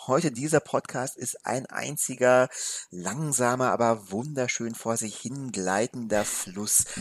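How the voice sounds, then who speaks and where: Very slowly, a man talks in a medium-pitched voice. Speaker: film podcast co-host. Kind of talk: casual film discussion. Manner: slow and deliberate.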